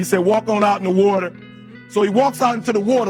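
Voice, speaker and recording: An intense voice at a fairly quick pace with ordinary pitch variation, over music in the background. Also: man. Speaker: motivational speaker. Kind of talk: live motivational speech to an audience. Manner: intense, preaching.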